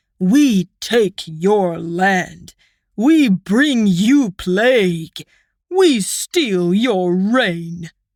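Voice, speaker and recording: In a put-on character voice, a female-sounding speaker bellows at a medium pitch and a very slow pace on a very clean recording with a silent background. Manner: slow, bellowing.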